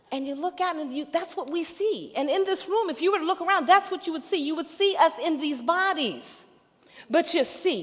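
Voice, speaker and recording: Delivered at a moderate pace with lively intonation in an American accent, the voice comes over noticeable background noise. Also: woman. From New Orleans, Ninth Ward. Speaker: minister. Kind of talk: sermon.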